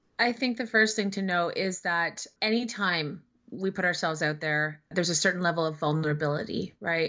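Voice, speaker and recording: A woman's unremarkable speaking voice, fairly low in pitch, with ordinary pitch variation and a moderate pace. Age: 40s. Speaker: writer, public speaker and activist. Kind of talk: interview.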